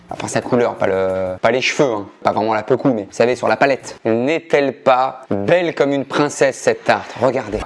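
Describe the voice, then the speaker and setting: Over noticeable background noise, a man speaks in an animated tone at a medium pitch and moderate pace, with ordinary pitch variation. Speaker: cooking show host. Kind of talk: cooking tutorial.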